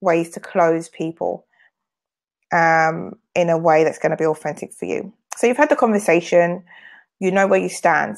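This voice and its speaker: The speaker has a British accent. Vocal fry runs through the voice. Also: woman. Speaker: sales trainer and business owner. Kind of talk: live video sales training. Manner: fast.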